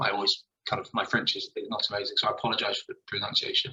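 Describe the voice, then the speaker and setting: This man has a southern English accent. He talks at a fairly quick pace. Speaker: school principal. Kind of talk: presentation. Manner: halting.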